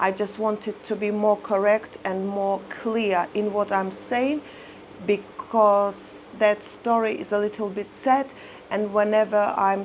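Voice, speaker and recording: A woman's medium-pitched voice with a non-native accent, at a very slow pace with fairly even intonation. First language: not English. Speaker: lifestyle vlogger. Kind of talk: personal life story monologue to camera. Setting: seated in front of camera. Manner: halting, many fillers.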